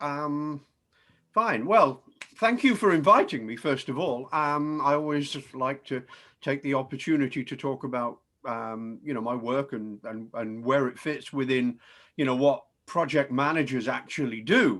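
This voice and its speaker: Speaking in a British accent at a moderate pace, a man with a fairly high pitch, a bright, sharp tone and lively intonation comes through on a very clean recording with a silent background. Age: 60s. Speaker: professor. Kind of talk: presentation. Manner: hesitant, many fillers.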